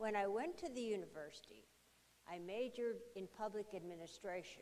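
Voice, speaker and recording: In an American accent, a woman talks at a fairly high pitch and a fairly quick pace. Her intonation is lively, and audible room echo surrounds her voice. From Arizona, Tucson. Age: 80s+. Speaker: panelist, retiree. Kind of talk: town hall discussion. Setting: stage with audience.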